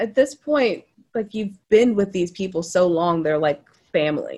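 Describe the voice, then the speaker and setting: Here is a woman with an unremarkable speaking voice. Her intonation is lively and her pace moderate. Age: 30s. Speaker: actor and show host. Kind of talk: casual chat.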